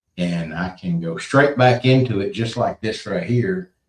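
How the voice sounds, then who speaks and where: A man with a Southern US accent, somewhat breathy, with lively intonation at a fairly slow pace. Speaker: cryptid podcast co-host. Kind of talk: casual chat.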